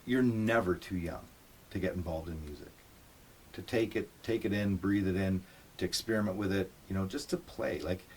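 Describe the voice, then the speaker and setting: With an ordinary speaking voice, a man talks at a moderate pace and a fairly low pitch, using ordinary pitch variation. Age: 50s. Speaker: musician, interviewer's father. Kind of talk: casual interview.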